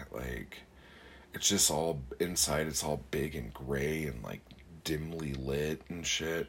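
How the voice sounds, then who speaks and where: A man with a very deep, low pitch and vocal fry talks at a very slow pace with fairly even intonation. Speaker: podcast host and poet. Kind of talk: casual solo podcast monologue. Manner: rambling with many fillers.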